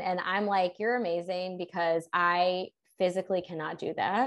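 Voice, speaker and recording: In a normal speaking voice, a woman talks at a moderate pace and medium pitch with fairly even intonation. The background is quiet. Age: 20s. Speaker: human design business coach. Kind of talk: casual interview.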